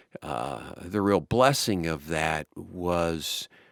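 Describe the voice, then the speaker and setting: A man speaks with a very deep, low voice, vocal fry and ordinary pitch variation. The sound is dry and close with no echo, on a very clean recording with a silent background. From US South, Baton Rouge, Louisiana. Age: 60s. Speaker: nonprofit executive. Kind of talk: oral history interview. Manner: hesitant, many fillers.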